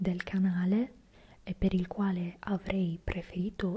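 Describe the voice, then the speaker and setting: A soft-spoken, whispering woman over light background noise. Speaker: fitness content creator. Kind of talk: casual vlog chat. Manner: soft close-mic whisper. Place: home room. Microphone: handheld.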